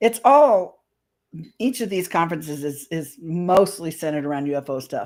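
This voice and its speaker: A woman speaks with a Midwestern US accent and lively intonation. The recording is very clean, with a silent background. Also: fairly low pitch for a woman, moderate pace. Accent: US Midwest. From Indianapolis, Indiana. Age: 60s. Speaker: paranormal and UFO speaker. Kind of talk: casual interview chat.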